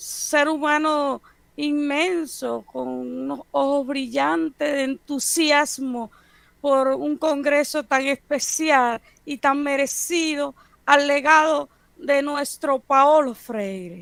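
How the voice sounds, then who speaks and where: A high-pitched woman at a very slow pace, with ordinary pitch variation. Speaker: professor. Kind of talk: lecture.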